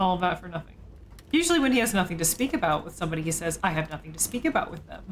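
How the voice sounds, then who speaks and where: A woman speaks very fast with an American accent, her pitch fairly low. Her loudness swings widely. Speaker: video game streamer. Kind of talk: casual gameplay commentary. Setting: live stream. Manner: casual, many fillers.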